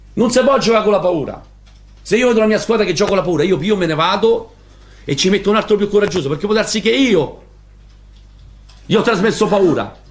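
With a Roman accent, a man speaks very fast at a high pitch with ordinary pitch variation and long, frequent pauses. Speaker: football coach. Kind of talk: press conference rant. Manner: heated, colourful. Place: meeting room. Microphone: podium.

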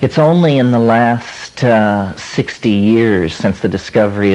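A man talks at a very slow pace with ordinary pitch variation and very even loudness. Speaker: lecturer. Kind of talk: lecture. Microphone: old recording.

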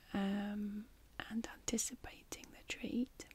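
Whispering is all that comes from this woman. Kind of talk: ASMR role-play talk to viewer. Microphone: studio mic.

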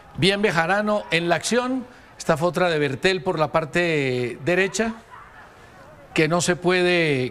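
Amid noticeable background noise, a man with a high pitch talks at a very slow pace, his intonation lively and his loudness very even. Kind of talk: sports commentary.

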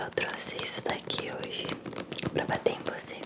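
A soft-spoken woman talks at a moderate pace. Loud background noise runs behind her. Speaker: ASMR creator. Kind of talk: ASMR roleplay talk. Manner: soft close-mic ASMR voice, teasing. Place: home room. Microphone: studio mic.

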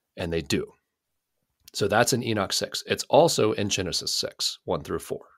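A man speaks at a moderate pace in an animated tone. The recording is very clean and silent behind him, with a dry, close sound and no echo. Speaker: podcast host discussing the Bible. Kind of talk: casual religious discussion. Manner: animated, prone to interrupting.

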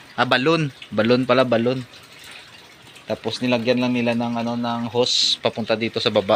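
With noticeable background noise behind him, a man at a medium pitch speaks at a fairly quick pace in a monotone, flat intonation, with long, frequent pauses. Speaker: rural vlogger. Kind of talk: casual vlog narration. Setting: outdoors on a farm. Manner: halting, many fillers.

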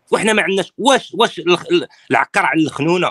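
The recording is dry, with no echo. A man talks over a quiet background. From Morocco. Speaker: political opposition activist; political commentator guest. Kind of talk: interview. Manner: animated. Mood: critical, serious. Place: home room. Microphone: phone near.

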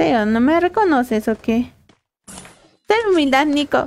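A woman with a high pitch speaks fairly slowly, her intonation lively.

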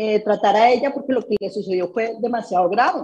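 A woman talks at a moderate pace. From Colombia, Tolima and Bogotá; Colombia. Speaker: construction entrepreneur, accident survivor; interview guest. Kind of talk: interview testimony. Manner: halting, many repeated words. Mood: emotional personal story. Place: home room. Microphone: video call.

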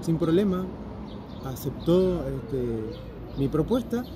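Speaking at a very slow pace, a man with a fairly high voice sounds dry with no echo against noticeable background noise. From Valle de Uco, Mendoza, Argentina; Mendoza, Argentina. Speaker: percussionist; vlogger interviewing a musician. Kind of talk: casual interview. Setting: outdoors in a plaza. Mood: enthusiastic, upbeat. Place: garden. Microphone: phone near.

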